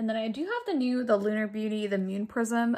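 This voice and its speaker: A woman talks at a fairly quick pace with a fairly high pitch and fairly even intonation. Noticeable background noise runs under her voice. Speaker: beauty vlogger. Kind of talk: makeup tutorial. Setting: at home, living room. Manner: quiet; casual, chatty.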